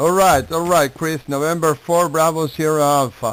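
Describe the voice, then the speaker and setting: A man with an Argentine accent is speaking. His pitch is fairly high and his pace fairly slow. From Argentina, Buenos Aires. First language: Spanish. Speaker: amateur radio operator. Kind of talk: ham radio contact. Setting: radio contact. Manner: halting.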